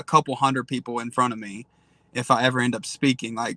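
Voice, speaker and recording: With an East Tennessee accent, a man speaks in a bright, sharp tone, recorded dry and close with no echo. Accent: Southern (East Tennessee). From Eastern Tennessee, Tri-Cities. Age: 20s. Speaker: social media creator. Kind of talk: casual interview.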